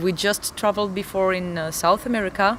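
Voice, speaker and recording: A woman's medium-pitched voice in a non-native accent, moderate pace, noticeable background noise. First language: not English. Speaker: metal band singer. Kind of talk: interview. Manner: halting, searching for words.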